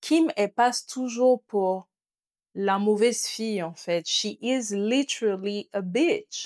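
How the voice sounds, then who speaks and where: The sound is dry and close, with no echo. A woman with a fairly high pitch speaks at a very slow pace, with ordinary pitch variation. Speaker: content creator and podcast host. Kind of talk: casual chat. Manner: soft-spoken.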